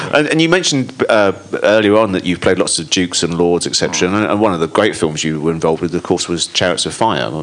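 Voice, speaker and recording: Over noticeable background noise, a man with a very deep, low pitch talks at a fairly quick pace with lively intonation. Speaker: comedy historian and interviewer. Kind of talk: live interview. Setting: stage with audience.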